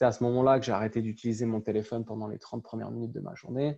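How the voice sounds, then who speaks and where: A man's dark, mellow tone at medium pitch, a very fast pace, and a quiet background. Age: 30s. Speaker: personal trainer. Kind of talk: interview. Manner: halting, many repetitions.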